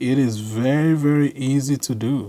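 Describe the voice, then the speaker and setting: A man speaks with an African accent. His pitch varies in an ordinary way. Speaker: tech video creator. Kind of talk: tutorial. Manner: casual.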